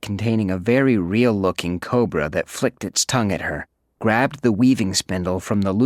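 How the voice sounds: The voice is a natural reading voice, and its pitch variation is ordinary. Nothing can be heard behind it.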